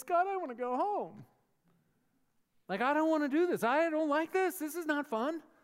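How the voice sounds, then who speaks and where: A put-on character voice, whiny and high-pitched, moves at a moderate pace. Long pauses break it up often. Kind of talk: casual. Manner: whiny, complaining.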